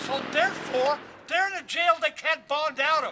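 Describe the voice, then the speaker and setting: Loud and at a moderate pace, a man speaks at an extremely high pitch with lively intonation over noticeable background noise. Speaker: castle builder. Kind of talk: rant. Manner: repetitive stammering.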